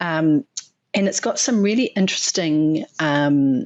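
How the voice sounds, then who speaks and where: Her pitch very deep and low, a woman with a New Zealand accent speaks with lively intonation. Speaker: animal nutrition scientist. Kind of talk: interview. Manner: hesitant, many fillers.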